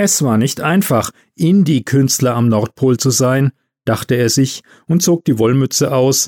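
It's a natural reading voice over a quiet background.

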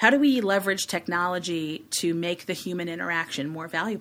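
A woman speaks with an American accent at a moderate pace. She has a normal speaking voice with ordinary pitch variation. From Chicago, US Midwest. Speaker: communications agency executive. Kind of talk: interview.

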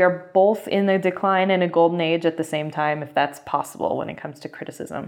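A woman with a normal speaking voice talks in a fairly low pitch at a fairly quick pace, with fairly even intonation against a quiet background. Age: 30s. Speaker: film critic. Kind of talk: interview. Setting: workshop in Santa Fe.

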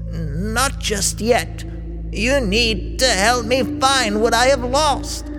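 A man's hissing, put-on character voice at a very slow pace over loud background noise

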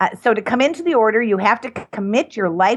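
A woman talks in a normal speaking voice. It sits fairly high in pitch, with ordinary pitch variation. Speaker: cannabis nun and activist founder. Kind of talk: interview.

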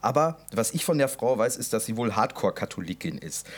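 Speaking at a fairly quick pace, a man uses vocal fry and very wide pitch swings. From Westphalia, Germany. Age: 20s. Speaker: podcast co-host. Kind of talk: casual chat.

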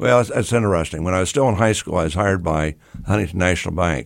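A man with an American accent and a very deep, low voice. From US Midwest, Grove City, Ohio. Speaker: mayor and former banker. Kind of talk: casual interview.

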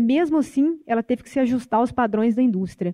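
Talking at a fairly quick pace, a woman has a fairly high pitch and a dark, mellow tone. The sound is dry and close, with no echo. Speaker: film studies professor. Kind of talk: panel debate.

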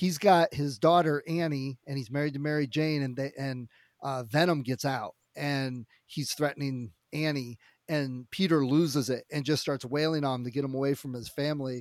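The sound is dry and close, with no echo. A man speaks at a fairly high pitch and moderate pace, with fairly even intonation. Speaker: podcast co-host. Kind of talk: casual podcast chat. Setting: remote call. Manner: loud.

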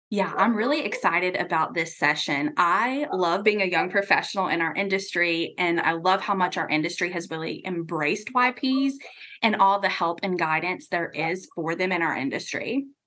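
Using a plain, everyday voice, a woman with an American accent talks at a moderate pace and medium pitch, with lively intonation and hardly any pauses. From US South, Atlanta, Georgia. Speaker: marketing executive. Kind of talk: radio interview. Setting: studio.

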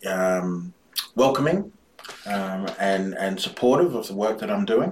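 An Australian accent at a very slow pace over noticeable background noise. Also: man. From Brisbane, Australia. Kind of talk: interview.

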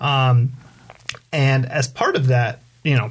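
Noticeable background noise sits behind a man of medium pitch speaking with a Californian accent. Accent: Californian American. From Southern California, San Diego area. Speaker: community activist. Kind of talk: casual interview. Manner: halting, many fillers.

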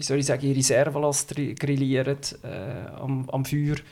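A man at a fairly slow pace, fairly high in pitch. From Switzerland, canton of Schwyz (upper Lake Zurich). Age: 30s. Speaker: podcast guest, city resident. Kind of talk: casual chat. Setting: home, at a living-room table.

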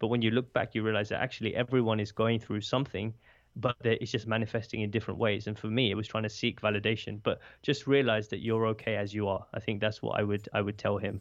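A very fast man with a British accent, fairly low in pitch, with monotone, flat intonation. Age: 20s. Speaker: podcast host and speaker. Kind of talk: interview conversation. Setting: remote call.

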